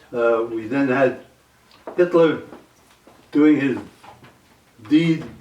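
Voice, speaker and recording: A man with an American accent speaks at a fairly slow pace, over noticeable background noise. His pitch is fairly high and his intonation fairly even. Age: 80s+. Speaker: war veteran. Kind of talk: oral history interview. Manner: halting, with fillers.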